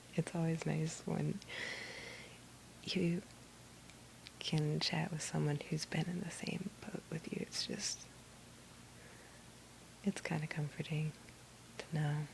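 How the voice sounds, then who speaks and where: Whispering and soft-spoken, this voice moves at a very slow pace with long, frequent pauses. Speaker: ASMR video maker. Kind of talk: ASMR soft-speaking video to help with sleep. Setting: recorded at night while trying to sleep. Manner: soft-spoken, whispery.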